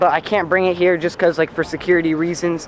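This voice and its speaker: Over noticeable background noise, a man with a high pitch talks at a very fast pace, the sound dry with no echo. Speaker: vlogger. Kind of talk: casual vlog chat. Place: street. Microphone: phone near.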